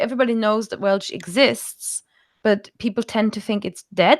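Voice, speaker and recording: A woman with a German accent and ordinary pitch variation, in a very clean recording with a silent background. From Germany. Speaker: language teacher. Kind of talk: interview. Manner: halting.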